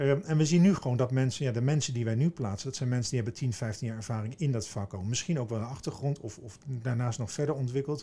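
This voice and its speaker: A man with a dark, mellow tone and medium pitch talks at a very fast pace with hardly any pauses. His voice is somewhat breathy, with ordinary pitch variation. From eastern Netherlands (Veluwezoom, Gelderland). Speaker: business executive, managing director of a recruitment firm. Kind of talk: interview. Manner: halting, frequent repetitions.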